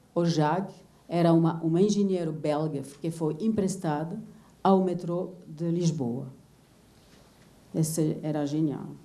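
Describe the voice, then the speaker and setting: A dark, mellow voice with a non-native accent moves at a fairly slow pace amid audible room echo. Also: woman. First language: not Portuguese (speaking Portuguese). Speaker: visual artist. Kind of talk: lecture. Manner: halting.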